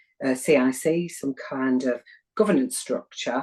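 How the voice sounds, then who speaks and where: A woman speaks with a very deep, low pitch and ordinary pitch variation, in a northern English accent. Her tone is dark and mellow, and her pace is fairly slow. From northern England, Wigan. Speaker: community development practitioner. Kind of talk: interview.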